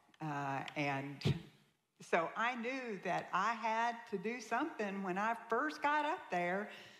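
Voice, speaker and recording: In a Southern accent, a woman speaks at a very slow pace in a fairly high voice with very wide pitch swings, with audible room echo. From US South, Tennessee. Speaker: guest speaker sharing her life story. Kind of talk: testimony.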